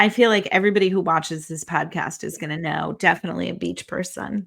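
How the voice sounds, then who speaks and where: Vocal fry runs through very fast speech with fairly even intonation. The recording is very clean with a silent background, though loudness swings widely. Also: woman, fairly low pitch for a woman. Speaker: podcast co-host, author. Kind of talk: casual chat.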